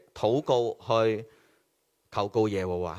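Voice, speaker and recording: A man speaks in a Hong Kong accent. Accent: Hong Kong Cantonese. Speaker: preacher. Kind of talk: sermon. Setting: online church service.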